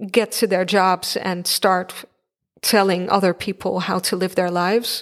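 With monotone, flat intonation, a woman speaks at a moderate pace in a very clean recording with a silent background. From eastern Netherlands, Enschede. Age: 20s. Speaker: podcast host, writer and social worker. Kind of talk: solo podcast monologue.

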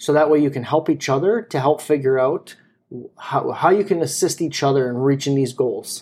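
Moderate in pace, a man's plain, everyday voice sits at a fairly high pitch with ordinary pitch variation. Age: 30s. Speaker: podcast co-host. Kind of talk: casual chat.

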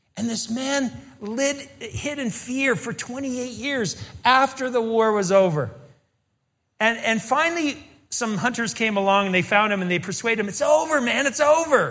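A man speaks at an extremely high pitch in a bright, sharp tone. His intonation is lively, and the room echo is audible. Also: moderate pace. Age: 60s. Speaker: pastor and teacher. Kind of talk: sermon.

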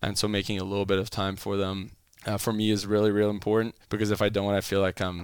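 A man talks in a monotone, flat intonation with a Franco-Ontarian accent. The recording is very clean, with a silent background. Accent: Franco-Ontarian Canadian English. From Ottawa, Canada. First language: French. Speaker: baseball strength and conditioning coach. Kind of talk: casual interview.

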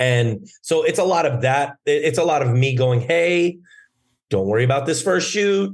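Lively intonation from a somewhat breathy man, his loudness very even. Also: fairly high pitch for a man, moderate pace. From Germany. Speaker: actor and entrepreneur. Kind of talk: casual interview. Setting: remote call.

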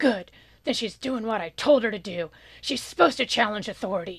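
A gruff, put-on character voice, female-sounding and medium-pitched for a woman, moves at a fairly quick pace. The background is quiet.

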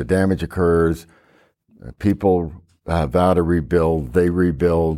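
In an American accent, a man speaks with a very deep, low pitch and a dark, mellow tone, his intonation fairly even. He talks at a fairly slow pace with long, frequent pauses and big swings in loudness, on a very clean recording with a silent background. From Oklahoma. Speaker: veteran journalist and journalism teacher. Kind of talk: panel discussion. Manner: rambling.

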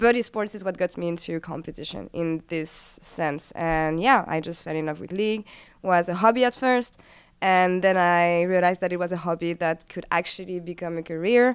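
A woman speaks at a moderate pace with fairly low pitch and ordinary pitch variation. The recording is very clean, with a silent background. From France. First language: French. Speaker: esports host. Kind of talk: casual chat.

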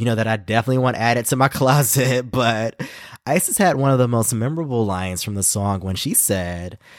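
Animated and fairly quick, a man with an American accent uses lively intonation on a very clean recording with a silent background and a dry, close sound with no echo. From US South, Carolinas. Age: 30s. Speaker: podcast host, drag fan. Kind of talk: casual solo podcast chat.

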